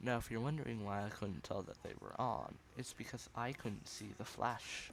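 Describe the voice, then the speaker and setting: At a moderate pace, a man speaks at a medium pitch with vocal fry and ordinary pitch variation, with audible room echo. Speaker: gaming youtuber. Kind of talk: gameplay commentary.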